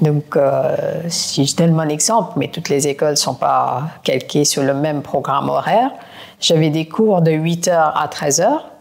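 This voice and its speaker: A woman's very deep, low voice with ordinary pitch variation at a fairly slow pace. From India (Kolkata). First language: not French (learned it as an adult) (speaking French). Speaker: private equity executive. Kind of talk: podcast interview.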